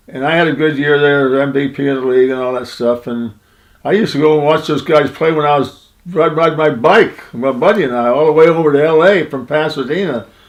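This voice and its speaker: In an American accent, a man talks very fast with a fairly high pitch. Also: ordinary pitch variation. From western New York and Southern California. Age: 90s. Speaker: retired baseball player. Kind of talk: interview storytelling. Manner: rambling, conversational.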